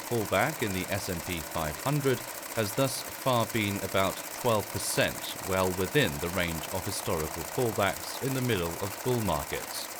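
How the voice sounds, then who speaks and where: With a British accent, a man speaks in a fairly low pitch with lively intonation. Noticeable background noise is present. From United Kingdom. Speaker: voice actor. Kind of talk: financial market outlook narration, ASMR style. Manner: soft-spoken, calm.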